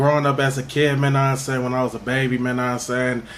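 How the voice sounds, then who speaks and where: Very fast speech in an American accent, with audible room echo and noticeable background noise. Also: man. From Minnesota, North Minneapolis. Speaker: rapper. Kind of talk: interview. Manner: repetitive filler-heavy casual speech.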